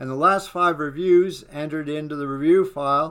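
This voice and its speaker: This man's pitch is fairly high. His pitch varies in an ordinary way. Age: 60s. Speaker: web developer and online course student. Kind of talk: software demo walkthrough. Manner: slow; halting, many fillers.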